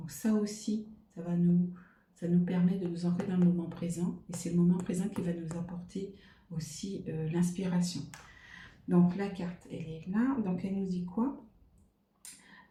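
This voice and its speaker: A woman speaks at a fairly slow pace with a fairly low pitch and ordinary pitch variation. Her somewhat breathy voice has a dark, mellow tone and carries audible room echo. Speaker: tarot card reader. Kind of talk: card reading monologue. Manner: hesitant, many fillers.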